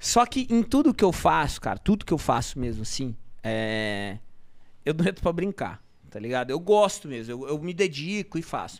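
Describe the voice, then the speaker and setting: A man at a moderate pace with very wide pitch swings, over a quiet background. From São Paulo, Brazil. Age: 30s. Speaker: marketplace entrepreneur; podcast guest. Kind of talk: casual interview storytelling. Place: studio. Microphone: studio mic.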